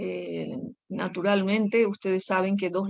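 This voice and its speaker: Medium pitch for a woman at a fairly slow pace. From Paraguay, rural. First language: Guaraní (speaking Spanish). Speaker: poet. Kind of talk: interview.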